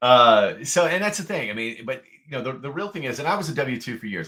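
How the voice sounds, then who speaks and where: Loud and bright with a sharp tone, a man speaks at a medium pitch in very wide pitch swings. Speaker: podcast co-host, entrepreneur. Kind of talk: podcast conversation. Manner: animated.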